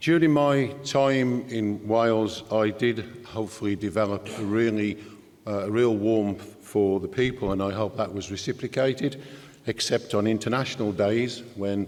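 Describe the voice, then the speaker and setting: The speech moves at a moderate pace with fairly even intonation, and background noise is noticeable. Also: man, fairly low pitch for a man. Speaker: trade union leader. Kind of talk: conference speech. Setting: stage with audience.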